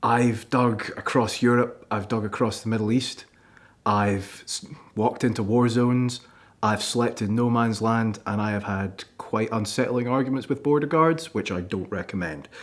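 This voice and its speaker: At a moderate pace, a man with a Scottish accent speaks at medium pitch with ordinary pitch variation. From Scotland. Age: 20s. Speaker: archaeology student. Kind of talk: presentation. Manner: animated.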